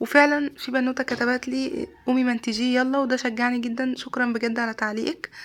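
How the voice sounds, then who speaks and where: A woman with an Egyptian accent speaks in a shrill, high voice with monotone, flat intonation. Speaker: vlogger. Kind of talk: casual vlog.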